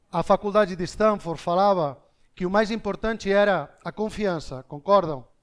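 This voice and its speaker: A man's high voice at a moderate pace with ordinary pitch variation, on a very clean recording with a silent background. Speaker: business speaker. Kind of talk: keynote talk to live audience. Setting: stage with audience.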